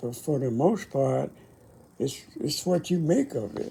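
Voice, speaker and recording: This somewhat breathy voice has a dark, mellow tone. It speaks at a very slow pace with lively intonation. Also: man. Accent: American. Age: 80s+. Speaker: Korean War veteran. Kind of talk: personal reflection to camera. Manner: halting.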